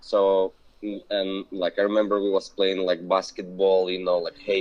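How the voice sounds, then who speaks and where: The man talks at a moderate pace. His speech carries a non-native accent. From Belarus. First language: not English. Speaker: business owner. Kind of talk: interview conversation. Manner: halting.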